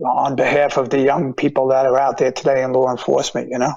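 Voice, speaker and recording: The speaker is a man in a New York accent. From Long Island, New York. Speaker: retired police officer. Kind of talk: interview. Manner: halting.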